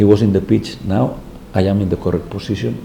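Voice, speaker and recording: A man talks with a Spanish accent at a fairly low pitch. Room echo can be heard. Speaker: football head coach. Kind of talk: press conference. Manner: halting.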